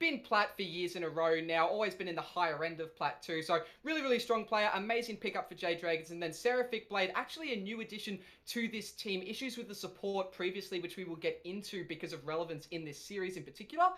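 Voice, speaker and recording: The speech runs at a very fast pace with hardly any pauses, over noticeable background noise. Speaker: esports caster. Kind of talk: live commentary.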